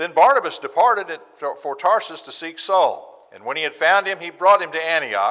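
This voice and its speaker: Against a quiet background, this man keeps his speech at a moderate pace. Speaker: preacher. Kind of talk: sermon. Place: church. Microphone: lapel.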